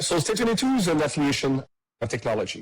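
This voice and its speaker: A somewhat breathy man with a French Canadian accent. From Quebec. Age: 30s. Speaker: tech startup CEO. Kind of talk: podcast interview.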